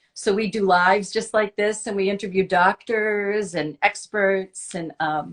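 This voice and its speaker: In an ordinary speaking voice, a woman of medium pitch speaks at a fairly slow pace with fairly even intonation and hardly any pauses, the sound dry and close with no echo. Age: 60s. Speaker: nonprofit founder and fashion blogger. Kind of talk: casual interview chat.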